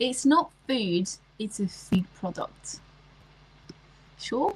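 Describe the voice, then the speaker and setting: With a French accent, a woman speaks very slowly at a fairly high pitch, her intonation lively. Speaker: livestreamer. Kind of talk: casual chat.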